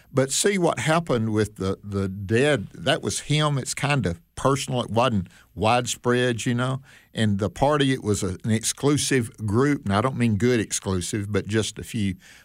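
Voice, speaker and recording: A man talks at a moderate pace with a medium pitch and ordinary pitch variation. The recording is very clean, with a silent background. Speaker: radio Bible teacher. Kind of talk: casual chat. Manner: animated.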